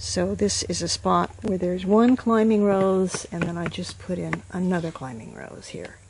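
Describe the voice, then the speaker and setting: A woman speaks at a moderate pace with hardly any pauses, against noticeable background noise. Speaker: gardener. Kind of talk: gardening tutorial narration.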